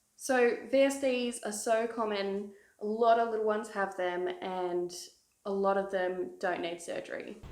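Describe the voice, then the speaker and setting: A woman with an Australian accent, fairly even in intonation, at a fairly slow pace. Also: medium pitch for a woman. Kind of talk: casual talk to camera.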